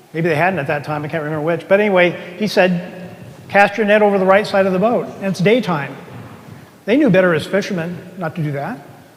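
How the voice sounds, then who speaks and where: A man talks at a very fast pace with a high pitch. Noticeable background noise and audible room echo fill the recording. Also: ordinary pitch variation. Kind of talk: sermon. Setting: church with congregation. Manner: soft-spoken; conversational, asks the congregation questions.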